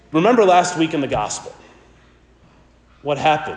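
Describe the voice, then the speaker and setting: A man with a high-pitched voice is heard with audible room echo and noticeable background noise. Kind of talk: sermon.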